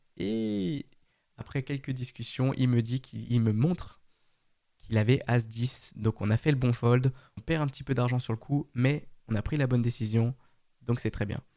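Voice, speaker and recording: A man talks at a moderate pace and medium pitch, his dark, mellow tone carrying fairly even intonation on a very clean recording with a silent background. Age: 20s. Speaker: poker vlogger. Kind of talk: vlog narration. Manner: casual.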